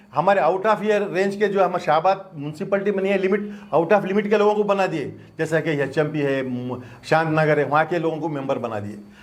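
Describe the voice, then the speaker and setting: In a room with audible echo, a man with a high-pitched voice speaks at a moderate pace with lively intonation. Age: 70s. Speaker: doctor and former mosque committee president. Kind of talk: press conference statement. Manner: halting, repetitive.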